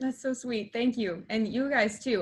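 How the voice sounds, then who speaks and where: A woman with an American accent talks at a fairly quick pace. She has an ordinary speaking voice with fairly even intonation. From Texas. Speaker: film company founder, student. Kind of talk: interview.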